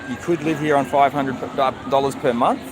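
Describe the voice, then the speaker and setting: Crowd noise fills the background. Over it, a man with an Australian accent speaks in a fairly high voice. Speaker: vlogger. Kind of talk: live stream chat answering viewers.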